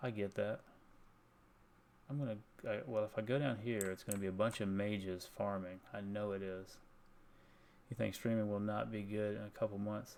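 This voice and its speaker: Soft-spoken and fairly low-pitched, a man talks with long, frequent pauses. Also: moderate pace. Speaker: video game streamer. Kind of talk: casual chat. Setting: home at night, live stream.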